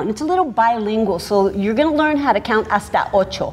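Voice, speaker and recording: A woman speaks at a fairly high pitch, her voice swinging very widely in pitch. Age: 50s. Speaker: fitness instructor. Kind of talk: sales pitch. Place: studio.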